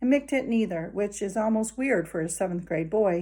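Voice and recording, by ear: Someone is reading aloud in a natural voice. The words come out evenly read from a text.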